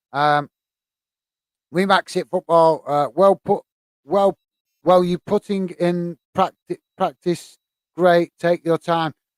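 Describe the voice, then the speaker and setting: In a Lancashire accent, a man with a high pitch speaks in a monotone, flat intonation with long, frequent pauses, in a dry, close sound with no echo. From northern England, Bolton. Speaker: football YouTuber. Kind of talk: live stream chat. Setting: live stream. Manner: fast; hesitant, many fillers.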